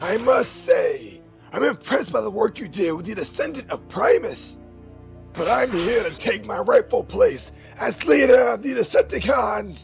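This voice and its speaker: A man performs in a put-on character voice. Clear music plays in the background. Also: moderate pace. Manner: commanding, scornful.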